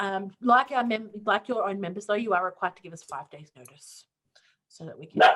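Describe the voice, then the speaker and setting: A woman speaks at a medium pitch with ordinary pitch variation and a fairly quick pace. Her loudness swings widely. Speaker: student union clubs coordinator. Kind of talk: online info session Q&A. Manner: fast.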